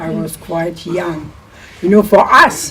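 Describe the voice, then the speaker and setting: A woman with a German accent speaks at a very slow pace and fairly even intonation amid noticeable background noise. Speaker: war-time childhood witness. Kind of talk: oral history interview.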